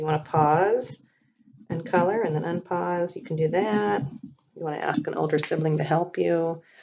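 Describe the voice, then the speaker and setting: A normal speaking voice with lively intonation and big swings in loudness, at a moderate pace. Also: woman, fairly low pitch for a woman. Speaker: teacher. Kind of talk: tutorial.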